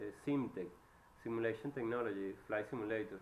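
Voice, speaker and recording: In a Venezuelan accent, a man speaks at a moderate pace with a medium-pitched voice. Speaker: electrical engineer. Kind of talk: job interview. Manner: halting.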